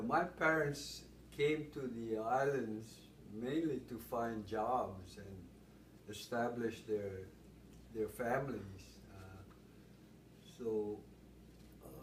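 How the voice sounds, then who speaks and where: A man with vocal fry and a medium pitch talks at a very slow pace, with long, frequent pauses. His loudness swings widely, and the room echo is audible. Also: ordinary pitch variation. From Hawaii, Honolulu. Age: 70s. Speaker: interviewee. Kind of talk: oral history interview. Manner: halting.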